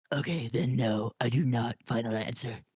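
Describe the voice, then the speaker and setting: A man puts on a raspy character voice at medium pitch. His pace is moderate. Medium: actual play. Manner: casual, offhand, swears easily.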